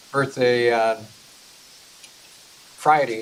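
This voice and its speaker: A man speaks over noticeable background noise. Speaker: personal finance class instructor. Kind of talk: lecture.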